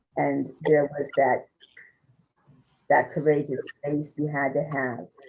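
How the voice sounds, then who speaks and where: Speaking very slowly with an American accent, a woman's very deep, low voice carries vocal fry and a monotone, flat intonation. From New York, Westchester County. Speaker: former activist. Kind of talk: oral history interview.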